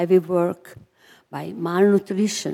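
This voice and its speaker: A woman speaks with a fairly low pitch. Her tone is dark and mellow, and her intonation stays fairly even. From Romania, Transylvania. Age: 90. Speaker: Holocaust survivor. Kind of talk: testimony. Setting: chapel service with audience.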